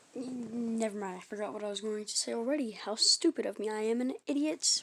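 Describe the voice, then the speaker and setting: A woman talks at a moderate speed, her fairly high voice showing ordinary pitch variation. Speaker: YouTuber telling fan-fiction anime stories. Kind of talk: casual storytelling monologue. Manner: halting, many fillers and self-corrections.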